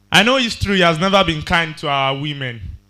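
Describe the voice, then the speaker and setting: Speaking with a Yoruba accent, a man talks at a fairly quick pace in a high pitch. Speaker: spoken word poet. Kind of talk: poetry performance.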